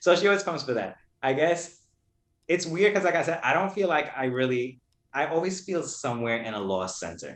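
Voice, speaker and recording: Speaking fairly quickly in a New York accent, a man with a fairly high pitch uses lively intonation. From Brooklyn, New York. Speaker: poet. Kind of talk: casual interview chat.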